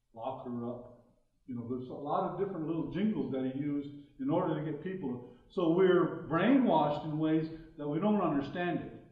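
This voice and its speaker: Heard with audible room echo, the speaker moves at a fairly quick pace with ordinary pitch variation. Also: man, fairly high pitch for a man. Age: 60s. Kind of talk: public talk. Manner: halting, with fillers.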